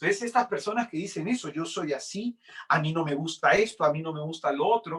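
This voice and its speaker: The voice belongs to a man and sits fairly high. Lively intonation runs through it. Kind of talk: sermon.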